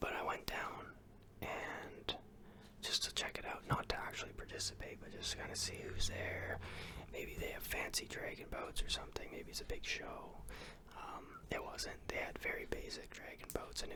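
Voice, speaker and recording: Someone whispers at a moderate pace. Noticeable background noise runs underneath. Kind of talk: ASMR whispered ramble about his day. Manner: whispered, soft-spoken.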